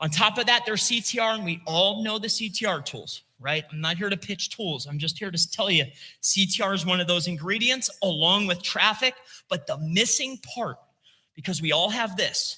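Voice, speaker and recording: A man projects his voice at a high pitch and a moderate pace. His tone is bright, sharp and animated. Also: ordinary pitch variation. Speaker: SEO consultant giving a talk. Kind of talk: conference presentation with slides.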